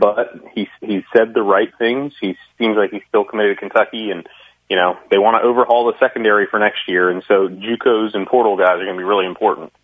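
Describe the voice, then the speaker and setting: The speaker has a normal speaking voice and talks at a fairly quick pace. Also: man. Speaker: sports analyst guest. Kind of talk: casual sports talk interview.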